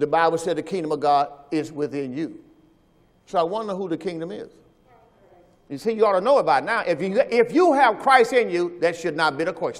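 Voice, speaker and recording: A man's high, animated voice with lively intonation, fairly quick in pace yet broken by long, frequent pauses. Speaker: preacher. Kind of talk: sermon. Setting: video recording to camera. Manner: animated, emphatic preacher delivery; direct, teacherly, addresses listeners and camera. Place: church.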